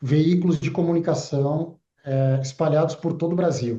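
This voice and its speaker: Moderate pace and ordinary pitch variation from a high-voiced man with a dark, mellow tone. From southern Brazil (Rio Grande do Sul). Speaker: broadcasting association executive. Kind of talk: TV interview. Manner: halting, with fillers.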